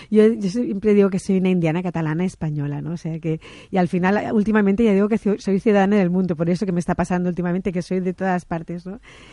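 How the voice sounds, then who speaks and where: A woman's dark, mellow tone at medium pitch, very fast and fairly even in intonation, over a quiet background. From Barcelona, Catalonia. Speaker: interview guest. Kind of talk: radio interview.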